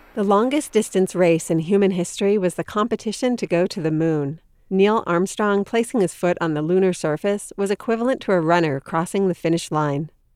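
In a very clean recording with a silent background, a woman speaks with a plain, everyday voice at a medium pitch. She talks at a fairly quick pace with hardly any pauses and ordinary pitch variation, the sound dry and close with no echo. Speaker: podcast host. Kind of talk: scripted narration.

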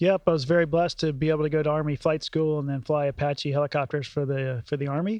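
A man with an American accent, fairly high-pitched, very fast, with fairly even intonation and hardly any pauses. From US South, Atlanta, Georgia. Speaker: astronaut. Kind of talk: interview.

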